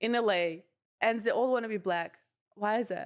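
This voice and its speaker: A woman speaks with a Russian accent at a fairly high pitch. Her tone is animated. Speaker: comedian. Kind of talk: casual chat.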